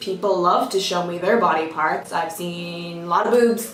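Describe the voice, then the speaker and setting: With an Irish accent, a woman speaks at a moderate pace with ordinary pitch variation, backed by music and audible room echo. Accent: Irish accent often mistaken for American. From Ireland, County Monaghan. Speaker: YouTuber, former retail worker. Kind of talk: casual storytime vlog. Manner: animated.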